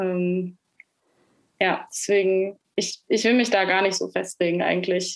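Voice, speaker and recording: Using monotone, flat intonation at medium pitch, a woman talks at a fairly slow pace with long, frequent pauses. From Nuremberg, Germany. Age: young. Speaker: singer-songwriter. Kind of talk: interview.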